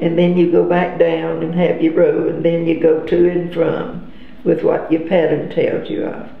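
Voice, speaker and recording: Over audible room echo, a woman with a Southern US accent speaks at a moderate pace in a fairly low pitch, her intonation monotone and flat. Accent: Southern American. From Georgia, USA. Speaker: grandmother interviewee. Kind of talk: interview answer. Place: home room.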